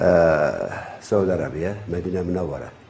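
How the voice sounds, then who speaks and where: Noticeable background noise and audible room echo accompany a man talking at a moderate pace. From Turkey. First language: Turkish. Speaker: traditional healer. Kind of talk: lecture. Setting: retreat gathering with audience. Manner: halting, hesitant.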